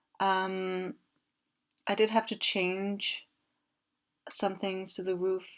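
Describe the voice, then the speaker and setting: Her pitch medium, a woman with a Danish accent speaks at a very slow pace in a very clean recording with a silent background. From Denmark. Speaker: video game builder, content creator. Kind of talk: casual commentary over gameplay. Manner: hesitant, many fillers.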